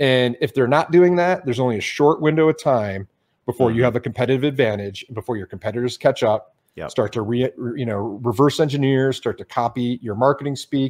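Against a quiet background, a man with an American accent and an ordinary speaking voice talks fairly quickly at medium pitch, with ordinary pitch variation. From Detroit, US Midwest. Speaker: brand strategist. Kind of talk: casual interview.

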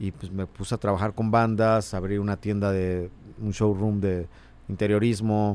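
A man with a fairly low pitch and monotone, flat intonation at a fairly slow pace. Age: 40s. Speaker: musician. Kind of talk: casual chat.

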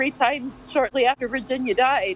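The speech comes at a fairly quick pace. The sound is dry and close with no echo, but noticeable background noise is present. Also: woman. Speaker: caller. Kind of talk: casual chat. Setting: video call.

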